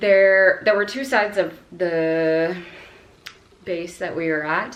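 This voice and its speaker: Very slow speech from a woman at a fairly low pitch with ordinary pitch variation, amid noticeable background noise and audible room echo. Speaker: Navy veteran and language-learning vlogger. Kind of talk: casual vlog monologue. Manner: casual, filler-heavy.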